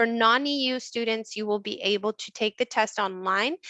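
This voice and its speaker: A woman with an American accent has a fairly high pitch and a bright, sharp tone, recorded dry and close with no echo. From United States. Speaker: university admissions manager. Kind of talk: webinar presentation. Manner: fast.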